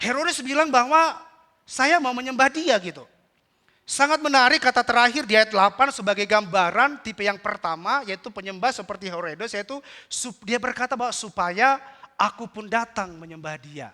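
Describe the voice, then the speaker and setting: Raised and projected, a man's voice comes at a fairly quick pace with an extremely high pitch and a bright, sharp tone. His intonation is lively, and the recording is very clean with a silent background. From North Sumatra (Batak). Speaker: pastor. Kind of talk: sermon.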